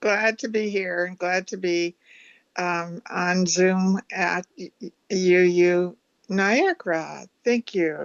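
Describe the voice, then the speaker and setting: At a very slow pace, a woman speaks at a medium pitch with fairly even intonation and big swings in loudness. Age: 80s+. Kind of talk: brief sharing in a service. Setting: Zoom call.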